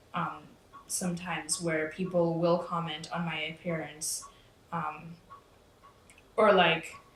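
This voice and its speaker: A woman's fairly low, flat, monotone voice, very slow with long, frequent pauses, amid noticeable background noise and audible room echo. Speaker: interviewee. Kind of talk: casual interview.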